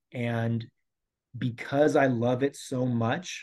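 A man with a General American accent, medium-pitched, against a quiet background. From Colorado. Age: 40s. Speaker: elementary school teacher. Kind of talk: interview. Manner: hesitant, many fillers.

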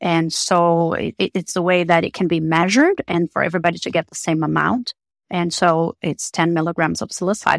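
A woman with a Portuguese accent speaks at a fairly quick pace in a fairly low voice, her intonation fairly even. The recording is very clean, with a silent background and a dry, close sound free of echo. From Brazil. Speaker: psychotherapist. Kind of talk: interview.

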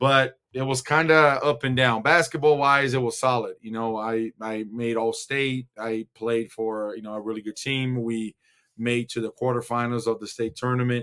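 Delivery comes at a moderate rate. There is fairly level intonation throughout. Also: man, medium pitch for a man. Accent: Brazilian. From Brazil, São Paulo. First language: Portuguese. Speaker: former basketball player. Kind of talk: casual interview. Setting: video call.

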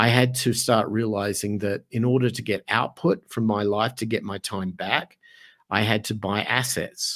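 A man with an Australian accent, fairly low in pitch, at a moderate pace with fairly even intonation. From Australia, Adelaide. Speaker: music studio owner and entrepreneur. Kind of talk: casual interview. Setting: video call.

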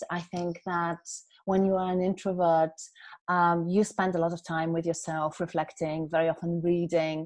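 Over a quiet background, a speaker with a Polish accent talks at a moderate pace in a monotone, flat intonation. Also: woman. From Poland. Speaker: keynote speaker and author. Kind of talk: casual interview conversation.

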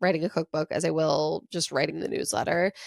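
A woman speaks at a fairly quick pace with an American accent and vocal fry. The sound is dry and close, with no echo. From US South, North Carolina. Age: 30s. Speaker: podcast host and cookbook author. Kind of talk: solo casual monologue. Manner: animated.

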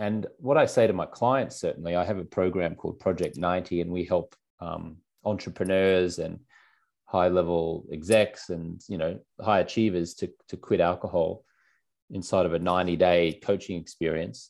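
In an Australian accent, a man with a very deep, low voice speaks at a moderate pace with ordinary pitch variation against a quiet background. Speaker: alcohol-free lifestyle coach. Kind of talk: interview.

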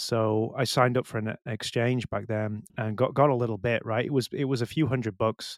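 With a British accent, a man speaks at a fairly quick pace, his medium pitch following fairly even intonation. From UK. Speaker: bitcoin meetup organizer. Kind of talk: casual chat. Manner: halting.

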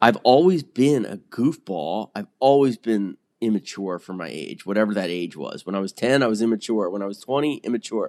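A man with a plain, everyday voice talks at a fairly quick pace with hardly any pauses, his fairly low pitch carrying lively intonation and big swings in loudness, the sound dry and close with no echo. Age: 40s. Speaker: newsletter writer in addiction recovery.

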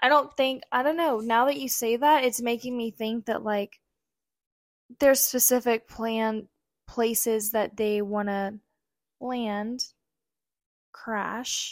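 Soft-spoken, a woman talks with a fairly high pitch and fairly even intonation. She goes at a very slow pace with long, frequent pauses. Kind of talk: casual chat.

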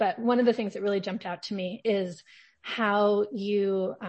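Somewhat breathy, a woman speaks at a medium pitch and a fairly slow pace. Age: 40s. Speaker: podcast host, journalist.

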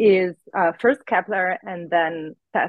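A woman speaks very slowly at a medium pitch. Her intonation stays fairly even. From outside the US. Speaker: astrophysicist. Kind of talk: interview. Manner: hesitant, filler-heavy.

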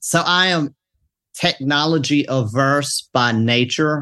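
A man with a Mississippi accent, fairly high in pitch with ordinary pitch variation, against a quiet background. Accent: Southern US (Mississippi). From US South, Mississippi. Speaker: pastor. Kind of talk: casual panel discussion.

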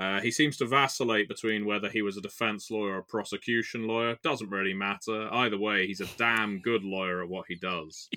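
A man's fairly low, bright and sharp voice with a British accent, fairly even intonation, a fairly quick pace and hardly any pauses. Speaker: tabletop game player and podcast co-host. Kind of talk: casual chat. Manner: rambling, jokey.

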